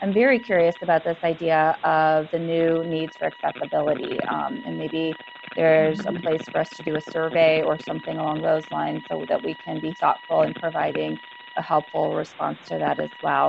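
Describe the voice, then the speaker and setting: A woman talks at a moderate pace over noticeable background noise. The sound is dry, with no echo. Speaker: psychologist association leader. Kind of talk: group discussion remarks. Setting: video call. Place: office. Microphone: earbuds.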